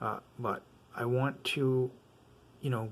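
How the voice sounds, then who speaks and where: In a very clean recording with a silent background, a man mumbles at a medium pitch with monotone, flat intonation. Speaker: audio gear reviewer. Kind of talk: product review. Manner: mumbling; casual, many fillers.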